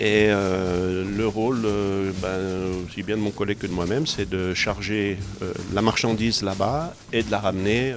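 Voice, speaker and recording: With hardly any pauses, a man speaks fairly slowly in a fairly low voice with fairly even intonation. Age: 60s. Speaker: volunteer. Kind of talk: interview testimony. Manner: hesitant, many fillers.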